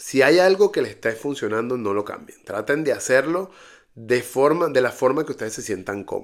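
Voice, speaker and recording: A man speaks at a moderate pace with fairly high pitch and lively intonation, in a very clean recording with a silent background. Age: 40s. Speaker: podcast host, digital marketing entrepreneur. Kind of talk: solo monologue. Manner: hesitant, frequent fillers.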